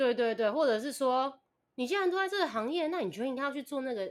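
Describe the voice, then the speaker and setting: A high-pitched woman at a very fast pace, her pitch swinging very widely. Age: 20s. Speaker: podcast listener guest. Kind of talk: casual chat.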